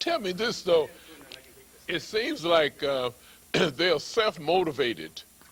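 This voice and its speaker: With a high pitch and lively intonation, a man speaks at a very slow pace. Long, frequent pauses break up his speech, and background noise is noticeable. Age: 80s+. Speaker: TV and radio show host. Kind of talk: interview. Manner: halting.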